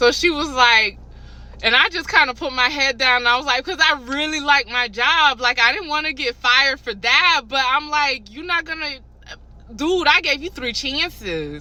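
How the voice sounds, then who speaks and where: At a moderate pace, a woman uses a raised, projected voice with a high pitch, ordinary pitch variation, and an animated tone. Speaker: hospital kitchen worker. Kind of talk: casual storytelling vlog. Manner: loud.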